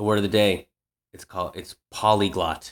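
With an American accent, a man talks at a moderate pace in a fairly low pitch, an unremarkable speaking voice. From Worcester, Massachusetts. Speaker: comedian and teacher. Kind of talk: casual chat. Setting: video call.

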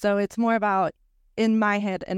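A woman with a Spanish accent speaks at a fairly quick pace in a flat monotone, recorded very cleanly with a silent background and a dry, close sound with no echo. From Venezuela. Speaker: architect. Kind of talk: casual chat.

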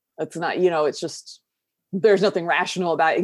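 A woman's fairly low voice, in an American accent, is heard on a very clean recording with a silent background. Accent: Southern US, thick but toned down. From US South. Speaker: mental health advocate and YouTuber. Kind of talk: casual interview chat, personal storytelling.

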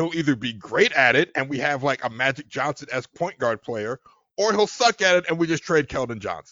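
This man has a normal speaking voice, talking at a fairly quick pace with fairly high pitch and lively intonation. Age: 30s. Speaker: podcast guest. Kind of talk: casual chat.

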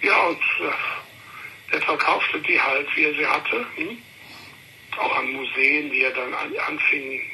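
Noticeable background noise runs through the clip. The speech moves at a very slow pace. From Thuringia (Schmalkalden), then Cologne from childhood. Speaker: art collector. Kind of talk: interview. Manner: halting, many fillers.

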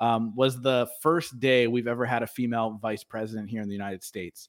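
A man's ordinary speaking voice at a medium pitch, fairly quick, with fairly even intonation, in a very clean recording with a silent background. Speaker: podcast host and coach. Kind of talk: casual live chat.

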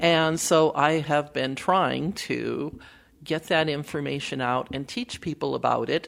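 A woman's very deep, low voice with vocal fry, ordinary pitch variation and a fairly slow pace. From Wisconsin, US Midwest. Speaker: political campaign strategist and author. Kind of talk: interview conversation.

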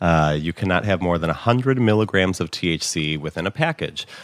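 With a Chicago accent, a man speaks at a very deep, low pitch using lively intonation. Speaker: dispensary employee. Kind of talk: casual interview chat.

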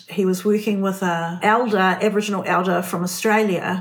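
A woman speaks at a moderate pace with a New Zealand accent. Her medium-pitched voice stays monotone and flat. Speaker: art curator and writer. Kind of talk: interview conversation.

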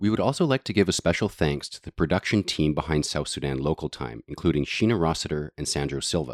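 In a Canadian accent, a man with a very deep, low voice and vocal fry talks very fast with lively intonation, the recording very clean with a silent background and a dry, close sound with no echo. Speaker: podcast host. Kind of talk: scripted narration.

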